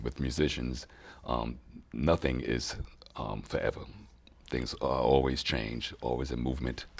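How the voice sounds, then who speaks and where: With vocal fry and a very deep, low pitch, a man speaks in a flat monotone at a fairly slow pace, leaving long, frequent pauses. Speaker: soul singer and bandleader. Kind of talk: interview.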